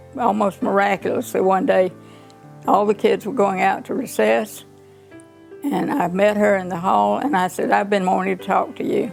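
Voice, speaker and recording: Over music in the background, a woman with a Southern US accent talks at a moderate pace, leaving long, frequent pauses. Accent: Southern American. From Griffin, Georgia. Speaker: retired teacher. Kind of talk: interview answer.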